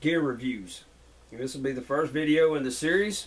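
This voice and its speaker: A man with a fairly high pitch talks while noticeable background noise plays underneath. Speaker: outdoor gear reviewer. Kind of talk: casual product review. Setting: indoors at home. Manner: loud.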